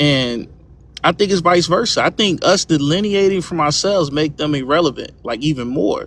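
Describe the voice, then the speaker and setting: A man's speech, with ordinary pitch variation, proceeds at a moderate pace. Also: fairly high pitch for a man. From Louisiana. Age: 30s. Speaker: live stream guest. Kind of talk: casual debate.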